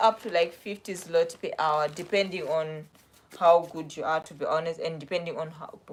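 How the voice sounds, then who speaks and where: A woman with a South African accent speaks at a moderate pace and a fairly low pitch. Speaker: vlogger. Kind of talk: casual live stream chat. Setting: live stream. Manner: casual, chatty.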